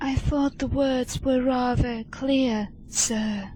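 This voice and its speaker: In a put-on character voice, a female-sounding speaker talks at a very slow pace and high pitch, with clear background noise behind her. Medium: audio drama. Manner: stiff, formal, terse.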